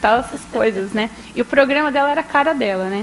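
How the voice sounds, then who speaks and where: The speech moves at a fairly quick pace with ordinary pitch variation. Noticeable background noise sits behind it. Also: woman. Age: young. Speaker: journalist and radio historian. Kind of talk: public talk, storytelling. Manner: conversational, frequent fillers.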